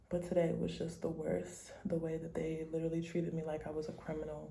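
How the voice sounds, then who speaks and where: A woman talks with an American accent. Audible room echo surrounds her voice. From United States. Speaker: travel vlogger. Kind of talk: travel vlog; casual chat.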